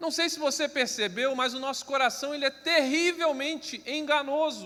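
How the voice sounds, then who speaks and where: In a raised, projected voice with a bright, sharp tone, a man speaks at an extremely high pitch. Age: 30s. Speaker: preacher. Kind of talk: sermon. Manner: slow; understated, not lively.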